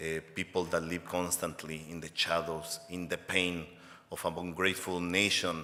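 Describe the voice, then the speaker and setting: A man speaks in a Mexican accent with a very deep, low pitch. His pace is fairly slow. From Mexico. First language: Spanish. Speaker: advocacy organization executive director. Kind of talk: award acceptance speech. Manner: impassioned.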